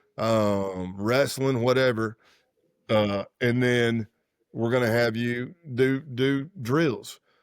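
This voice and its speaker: A man with an American accent speaks at a medium pitch and a very slow pace, his intonation fairly even. The recording is very clean, with a silent background. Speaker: former undercover federal agent. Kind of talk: interview. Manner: casual, conversational.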